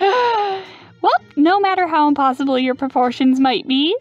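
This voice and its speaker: A man performs in a put-on character voice with faint music in the background. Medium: actual play. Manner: brash, goofy, salesy.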